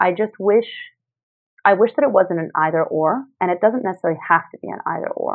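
A woman's medium-pitched voice, an ordinary speaking voice, with big swings in loudness, lively intonation and a fairly quick pace. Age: 30s. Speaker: health entrepreneur. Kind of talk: interview.

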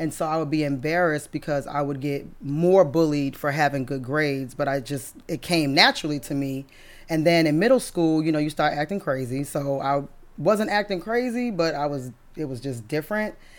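A woman with a very deep, low pitch and an American accent, ordinary pitch variation, in a very clean recording with a silent background. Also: fairly quick pace. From Massachusetts (Brockton). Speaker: business founder, military veteran. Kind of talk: interview conversation.

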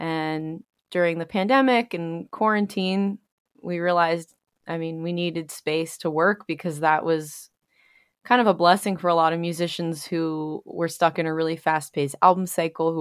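A woman with an American accent speaks in an unremarkable speaking voice at a fairly low pitch and moderate pace, her intonation fairly even. The recording is very clean with a silent background, the sound dry and close with no echo. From New York. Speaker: musician and producer. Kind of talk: interview.

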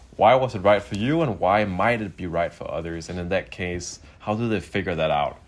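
An ordinary speaking voice moves at a fairly quick pace with hardly any pauses. The pitch varies in an ordinary way. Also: man, fairly low pitch for a man. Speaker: podcast host. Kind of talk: remote interview, casual chat. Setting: video call.

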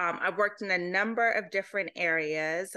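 Against a quiet background, a woman speaks at a medium pitch with a bright, sharp tone and ordinary pitch variation. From UK, Jamaican family. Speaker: podcast host and education researcher. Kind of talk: interview conversation.

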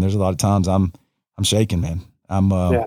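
A man with a Southern US accent and a very deep, low pitch is heard on a very clean recording with a silent background. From US South, North Florida. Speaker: pastor. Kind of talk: casual chat. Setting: home studio. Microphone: good mic, recorded locally.

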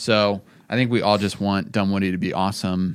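Against a very clean recording with a silent background, a man with an unremarkable speaking voice talks at a fairly low pitch and a fairly slow pace, with fairly even intonation. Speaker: podcast host and coffee company founder. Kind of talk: casual chat.

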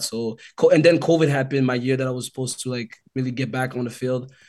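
A man's unremarkable speaking voice, medium in pitch, with ordinary pitch variation and a fairly quick pace. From Calgary, Alberta, Canada. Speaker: former football player. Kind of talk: casual chat.

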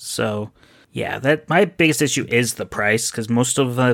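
On a very clean recording with a silent background, a man uses a normal speaking voice at medium pitch and a moderate pace. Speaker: podcast listener and patron. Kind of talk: casual chat.

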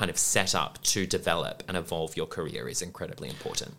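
A man speaks in an Australian accent. His tone is bright and sharp. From Western Australia (Perth). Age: 20s. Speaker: musical theatre actor. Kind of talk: interview.

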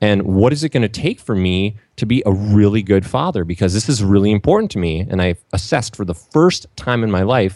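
A man speaks at a fairly quick pace in a plain, everyday voice, fairly low in pitch with ordinary pitch variation. The sound is dry and close with no echo. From Minnesota, US. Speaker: entrepreneur and minimalism blogger. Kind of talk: podcast interview.

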